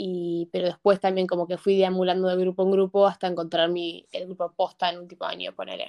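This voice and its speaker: A woman with an unremarkable speaking voice talks at a medium pitch and a fairly quick pace. The sound is dry and close, with no echo. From US Northeast and Buenos Aires, Argentina. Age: young. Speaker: student. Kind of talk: casual chat.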